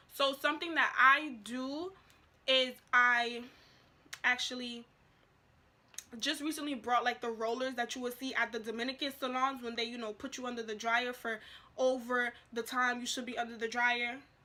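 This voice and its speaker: A woman with a high pitch and bright, sharp tone speaks at a moderate pace in a monotone, flat intonation, with long, frequent pauses. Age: young. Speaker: natural hair vlogger. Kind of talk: casual talk to camera.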